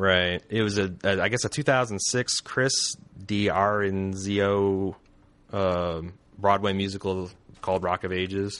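Over a quiet background, a man speaks fairly slowly in a fairly low voice. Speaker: podcast host. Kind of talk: casual chat. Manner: animated.

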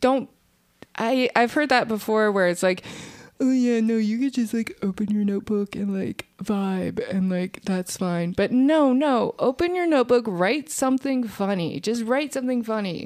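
At a moderate speed comes a plain, everyday voice. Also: woman, fairly high pitch for a woman. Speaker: comedian. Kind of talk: casual chat.

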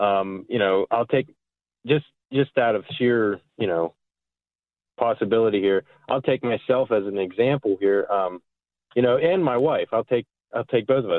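Medium-pitched male speech with an American accent, ordinary pitch variation, a moderate pace and long, frequent pauses. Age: 20s. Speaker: farmer. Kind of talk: phone-in call.

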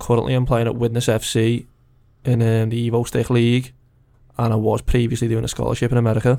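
Speaking very fast with a Liverpool accent, a man uses a dark, mellow tone at medium pitch, with very even loudness and monotone, flat intonation. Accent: Scouse. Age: 20s. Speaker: non-league footballer. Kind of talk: casual interview.

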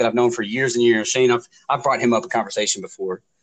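A man speaks in a medium pitch. His pitch varies in an ordinary way. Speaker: podcast co-host. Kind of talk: casual chat. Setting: phone call. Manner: loud; animated.

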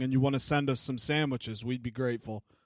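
Against a quiet background, a man talks with fairly even intonation. He has an ordinary speaking voice with a fairly high pitch. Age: 20s. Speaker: podcast co-host. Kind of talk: casual chat.

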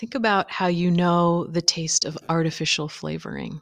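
A woman's fairly low voice at a fairly slow pace, in a very clean recording with a silent background. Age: 40s. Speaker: podcast host, astrology and reflection. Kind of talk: solo reflective monologue. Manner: playful.

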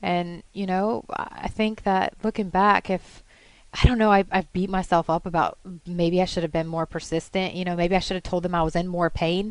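A woman's medium-pitched voice, monotone and flat, at a moderate pace against a quiet background. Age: 30s. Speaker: cancer patient guest. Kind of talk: interview about illness. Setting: studio.

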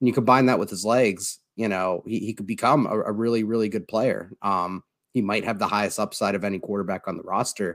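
In a very clean recording with a silent background, a man with an ordinary speaking voice talks at a fairly quick pace and a fairly low pitch, with fairly even intonation and hardly any pauses. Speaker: sports podcast host. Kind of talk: casual sports talk. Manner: filler-heavy, casual.

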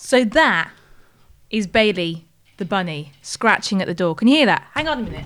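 A woman speaks at a moderate pace in a medium-pitched voice, her pitch swinging very widely. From northern England, Wakefield, Yorkshire. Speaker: podcast co-host, TV worker. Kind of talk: casual chat.

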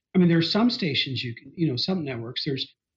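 With an American accent, a man talks at a high pitch, his voice making very wide pitch swings. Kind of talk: casual interview discussion.

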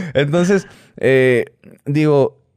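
A man speaks with lively intonation. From Hermosillo, Sonora, northern Mexico. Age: 30s. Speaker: YouTuber, businessman. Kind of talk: casual interview chat.

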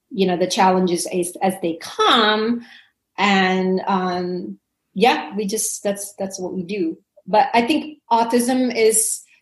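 The woman's voice is somewhat breathy, at a medium pitch with ordinary pitch variation. She speaks at a very slow pace. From Indonesia. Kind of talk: interview.

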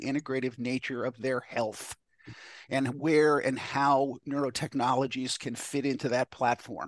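A plain, everyday voice with an American accent moves at a moderate pace. The sound is dry and close with no echo, over a quiet background. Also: man. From New York. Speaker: neurofeedback clinic founder. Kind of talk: casual chat.

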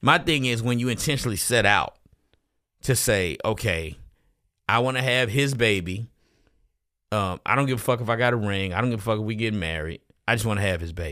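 Fairly quick male speech of medium pitch and bright, sharp tone, with long, frequent pauses, ordinary pitch variation and a very clean recording with a silent background. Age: middle-aged. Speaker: comedian and podcast co-host. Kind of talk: casual chat.

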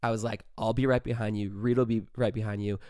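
A man with an American accent and a medium pitch talks in an animated tone at a moderate pace. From Southern California. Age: 20s. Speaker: podcast host. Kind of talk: casual storytelling monologue.

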